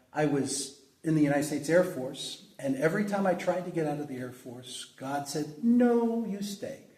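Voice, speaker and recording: At a moderate pace with hardly any pauses, a man speaks with lively intonation and a fairly high pitch. His loudness swings widely, and audible room echo is present. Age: 60s. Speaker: pastor. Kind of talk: interview. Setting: church.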